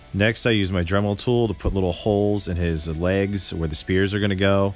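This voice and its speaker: A man's fairly low voice at a moderate pace with music in the background. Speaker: custom toy maker. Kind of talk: tutorial narration. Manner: monotone.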